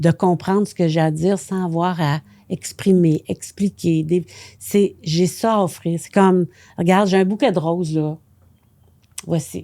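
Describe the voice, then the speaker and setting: Taking long, frequent pauses, a woman speaks at a fairly low pitch in a dark, mellow tone. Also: fairly even intonation, fairly slow pace. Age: 70s. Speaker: astrologer and author. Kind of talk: podcast interview.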